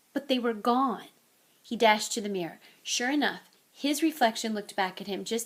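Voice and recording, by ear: The text is read aloud in a natural voice.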